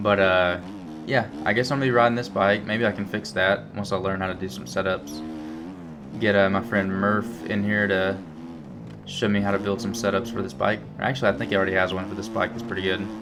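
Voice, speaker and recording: A man's fairly low voice in a strong Alabama accent, at a fairly quick pace with ordinary pitch variation, over background music and audible room echo. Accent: strong rural Alabama. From Alabama, US South. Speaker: gaming youtuber. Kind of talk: gameplay commentary. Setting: indoors at home. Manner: casual, many fillers.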